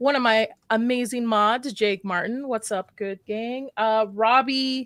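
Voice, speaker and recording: Fairly high in pitch with fairly even intonation, a woman speaks at a fairly slow pace in a dry, close sound with no echo. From US, in a mostly Arabic-speaking household. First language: Arabic. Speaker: horror YouTuber, live stream host. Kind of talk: live stream panel chat.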